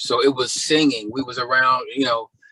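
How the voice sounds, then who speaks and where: A man at a moderate pace with ordinary pitch variation, in a dry, close sound with no echo. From Baltimore, Maryland (Guyanese family). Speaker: R&B singer. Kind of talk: interview. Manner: casual, filler-heavy.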